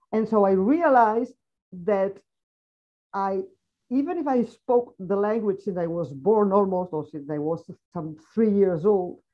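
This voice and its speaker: Her medium-pitched voice lively in intonation, a woman speaks at a fairly slow pace with long, frequent pauses. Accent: Catalan. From Catalonia, Spain. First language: Catalan. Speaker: foreign correspondent. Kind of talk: panel discussion. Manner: halting.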